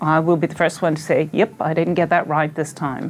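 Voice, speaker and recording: A woman speaks with an Irish accent. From Ireland. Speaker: health organization chief executive. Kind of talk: interview.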